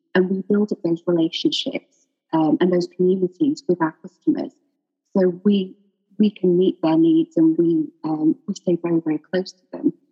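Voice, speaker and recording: A woman's somewhat breathy voice shows very wide pitch swings and big swings in loudness. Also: medium pitch for a woman, moderate pace. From Sheffield, northern England. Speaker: education company executive, former teacher. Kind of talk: radio interview.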